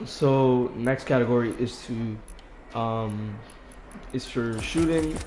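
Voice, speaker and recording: Noticeable background noise sits under the speech. The pace is very slow. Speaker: gaming streamer. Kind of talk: gameplay tutorial. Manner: hesitant, filler words.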